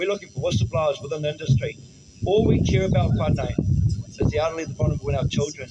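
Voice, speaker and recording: Someone speaks with a New Zealand accent over noticeable background noise. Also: man. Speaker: political party spokesperson. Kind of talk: public speech at a protest. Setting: outdoors outside a government office.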